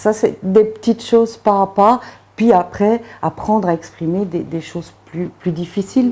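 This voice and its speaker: A woman's dark, mellow tone at a medium pitch, fairly slow in pace, with ordinary pitch variation. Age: 40s. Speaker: recovering alcoholic. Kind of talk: interview answer.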